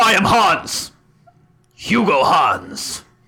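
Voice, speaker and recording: Put-on character voice, raspy in tone. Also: man, extremely high pitch for a man. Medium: actual play. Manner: curt, grave, commanding.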